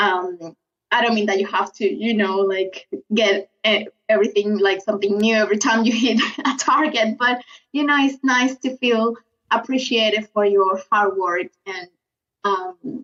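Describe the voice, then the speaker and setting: A woman with a South American accent has a fairly high pitch. She speaks at a moderate pace with ordinary pitch variation. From Venezuela. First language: Spanish. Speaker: lettering artist. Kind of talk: podcast interview. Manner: hesitant, many fillers.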